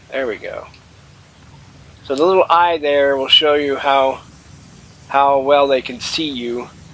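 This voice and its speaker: Over noticeable background noise, a man with a fairly high voice speaks at a fairly slow pace with fairly even intonation, long, frequent pauses and big swings in loudness. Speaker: gaming YouTuber. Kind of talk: let's play commentary. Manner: casual, hesitant fillers.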